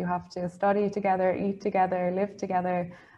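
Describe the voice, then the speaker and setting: Speaking very fast with an Irish accent, a woman keeps a medium pitch and a monotone, flat intonation. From Ireland. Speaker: junior EU diplomat; webinar panelist. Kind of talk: panel talk. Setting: online event. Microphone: earbuds.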